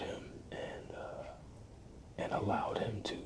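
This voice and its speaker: A man whispering in a relaxed tone at a very slow pace, amid noticeable background noise. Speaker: ASMR content creator. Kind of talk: ASMR album review, whispered. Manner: whispered, relaxed, hesitant with frequent filler words.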